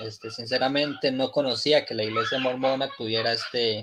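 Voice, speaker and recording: This is a man with a medium pitch. He has a plain, everyday voice. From Costa Rica. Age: young. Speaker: religious debater. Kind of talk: formal debate.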